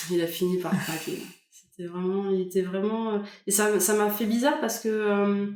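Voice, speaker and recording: A woman with a plain, everyday voice keeps a medium pitch, a moderate pace and fairly even intonation. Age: 20s. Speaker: podcast guest. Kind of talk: interview answer.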